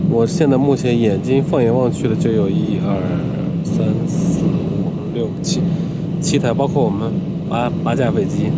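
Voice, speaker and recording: A man at a fairly slow pace amid loud background noise. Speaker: travel vlogger. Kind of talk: casual vlog chat. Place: plane. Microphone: phone near.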